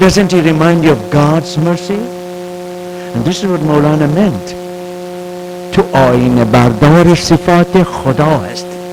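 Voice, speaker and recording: Speech unfolds at a very slow pace with music in the background. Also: man, high pitch for a man, fairly even intonation. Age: 70s. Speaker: professor. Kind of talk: lecture.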